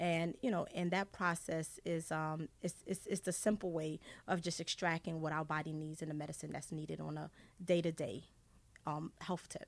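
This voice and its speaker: In a very clean recording with a silent background, a woman with an unremarkable speaking voice talks at a moderate pace, pitched fairly low, with fairly even intonation. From Haiti, raised in US from age seven. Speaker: essential oils wellness advocate. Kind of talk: radio interview.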